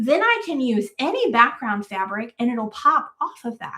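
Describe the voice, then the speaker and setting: Bright and sharp in tone, a woman speaks at a fairly slow pace in a high pitch, sounding animated. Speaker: quilt fabric designer and channel host. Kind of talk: livestream product showcase. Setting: live stream.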